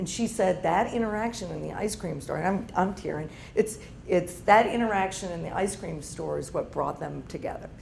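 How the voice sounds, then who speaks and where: Audible room echo surrounds a woman at medium pitch. She speaks at a fairly quick pace with ordinary pitch variation. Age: 50s. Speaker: entrepreneur and business owner. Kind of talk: guest talk to university audience. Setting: room with live audience.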